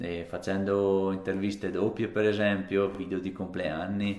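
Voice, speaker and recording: A man speaks in a plain, everyday voice. His pitch sits fairly low. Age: 30s. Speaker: fitness vlogger. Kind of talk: casual vlog monologue to camera. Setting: alone talking to camera.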